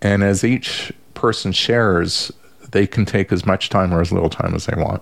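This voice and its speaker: This man talks at a fairly slow pace in an ordinary speaking voice, with ordinary pitch variation. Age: 60s. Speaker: social worker and family therapist. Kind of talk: casual chat.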